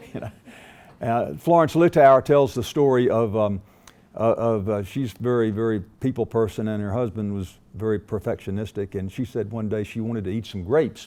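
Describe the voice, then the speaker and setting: A man speaks at a moderate pace in a medium pitch. His tone is dark and mellow, with ordinary pitch variation. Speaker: management consultant and speaker. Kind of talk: business talk to an audience. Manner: hesitant, many fillers.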